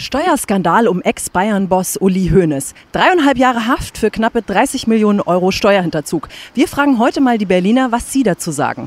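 A woman's voice at a moderate pace, with very wide pitch swings, very even loudness and a dry sound with no echo. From Hesse, Germany. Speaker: TV presenter. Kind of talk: TV magazine presenting.

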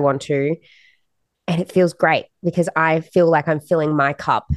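A woman's flat, monotone voice at a fairly slow pace, in a dry, close sound with no echo. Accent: Australian. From Australia. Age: young. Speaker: country-pop singer. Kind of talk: casual interview.

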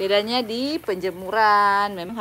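Over light background noise, a woman talks in a bright, sharp tone with ordinary pitch variation. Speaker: plant hobbyist vlogger. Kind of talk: livestream tutorial. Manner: casual, chatty. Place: garden. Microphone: phone near.

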